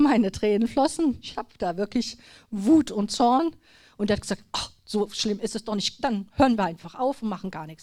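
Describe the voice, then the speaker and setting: At a moderate pace, a woman talks in a fairly high voice with a dark, mellow tone. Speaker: lay speaker at church gathering. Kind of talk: personal testimony. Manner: trembling at times; halting.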